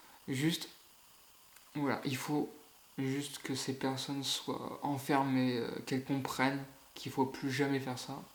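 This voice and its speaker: A man speaks at a fairly slow pace with a fairly high pitch and flat, monotone intonation. Long, frequent pauses break up his speech, and the room echo is audible. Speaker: YouTuber. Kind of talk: casual vlog rant. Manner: halting.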